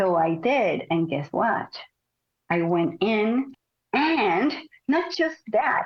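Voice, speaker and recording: Very wide pitch swings mark this woman's fairly high voice with a Spanish accent, delivered at a very slow pace with long, frequent pauses and very even loudness. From Mexico. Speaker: Pilates teacher and former ballet dancer. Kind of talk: interview.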